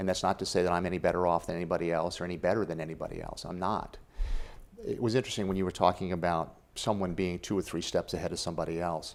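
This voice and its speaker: In a very deep, low voice, a man talks at a very fast pace with monotone, flat intonation. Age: 60s. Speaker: author and spiritual life coach. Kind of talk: interview.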